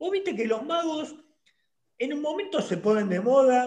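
Over background music, a man talks at a moderate pace, his pitch swinging very widely. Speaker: online show host. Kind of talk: interview. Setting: video call.

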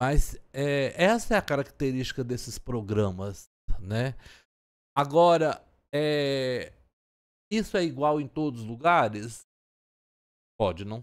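Speaking at a very slow pace with long, frequent pauses, a man uses a fairly high pitch and big swings in loudness, captured in a very clean recording with a silent background. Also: lively intonation. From Goiás, Brazil (Turvânia). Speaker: geography professor. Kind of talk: casual interview chat.

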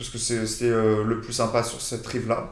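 Fairly quick speech from a man at a medium pitch, amid noticeable background noise and audible room echo. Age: 20s. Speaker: former exchange student. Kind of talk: casual chat.

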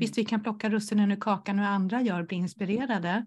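A woman speaks in a somewhat breathy voice with ordinary pitch variation. The background is quiet. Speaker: entrepreneur and coach for introverts. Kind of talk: casual interview chat.

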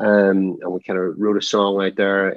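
In a Northern Irish accent, a man speaks with a fairly low pitch and monotone, flat intonation. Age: 40s. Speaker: anti-trafficking campaigner. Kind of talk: interview.

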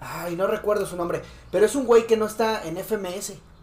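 With a Mexican accent, this speaker talks. The tempo stays moderate. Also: man. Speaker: streamer reacting to freestyle rap videos. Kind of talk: casual chat.

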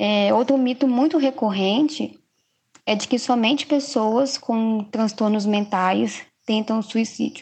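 A woman speaks at a very slow pace with a fairly high pitch. Her voice is somewhat breathy. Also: ordinary pitch variation, very even loudness. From Minas Gerais, Brazil. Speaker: psychologist. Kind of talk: podcast interview.

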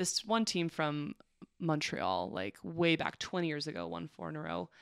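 Using a normal speaking voice, a woman with a Canadian accent talks at a moderate pace in a fairly low pitch, on a very clean recording with a silent background. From Alberta, Canada. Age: 20s. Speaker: college volleyball player and teacher. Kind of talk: casual chat.

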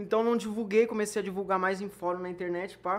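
A man talks at a very fast pace in a high pitch. His intonation stays fairly even. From Porto Alegre, southern Brazil. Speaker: YouTuber. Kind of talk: casual interview chat.

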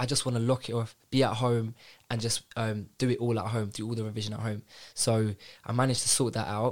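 With a London accent, a man talks at a fairly quick pace. His medium-pitched voice stays monotone and flat. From North London. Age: 20s. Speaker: bank graduate analyst. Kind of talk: casual chat. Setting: studio.

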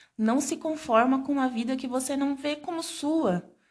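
In an unremarkable speaking voice, a woman speaks at a fairly slow pace with ordinary pitch variation. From Brazil, Santos (São Paulo state). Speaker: podcast host, small business owner. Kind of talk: casual chat.

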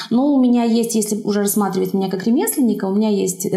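Through audible room echo and noticeable background noise, a woman talks at a very fast pace. Her medium-pitched voice keeps fairly even intonation. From Belarus, Zhabinka near Brest. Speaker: watercolour artist and craftswoman. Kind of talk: casual interview.

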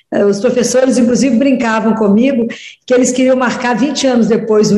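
A woman speaks at a high pitch and a moderate pace with fairly even intonation, with audible room echo around her. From Minas Gerais, Brazil (Oliveira). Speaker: pediatrician and religious speaker. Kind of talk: radio interview.

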